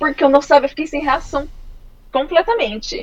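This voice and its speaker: This is a woman speaking. Her pitch is high. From Brazil, Campo Grande, Mato Grosso do Sul. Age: 20s. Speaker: heavy metal fan, musician. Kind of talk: casual interview.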